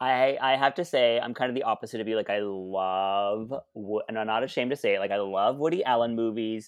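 A man's medium-pitched voice, a plain, everyday voice, at a fairly quick pace with ordinary pitch variation and hardly any pauses, against a quiet background. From Canada, Ottawa (Alta Vista). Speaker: drag performer and podcast co-host. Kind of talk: casual chat.

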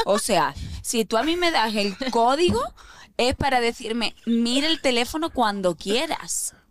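This woman has an unremarkable speaking voice with fairly high pitch and lively intonation. She talks at a fairly slow pace. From Andalusia, Spain. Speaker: actress. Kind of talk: casual chat.

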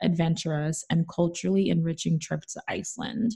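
A woman's somewhat breathy voice carries a dark, mellow tone and ordinary pitch variation. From New York City, the Bronx. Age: 20s. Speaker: travel finance author and podcaster. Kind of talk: casual interview.

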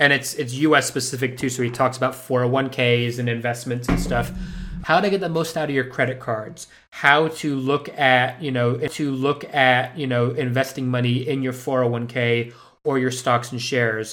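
Here is a man with an unremarkable speaking voice. He talks at a moderate pace. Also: medium pitch for a man, fairly even intonation. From Spain (Madrid), international school. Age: 30s. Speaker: actor and filmmaker. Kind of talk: interview.

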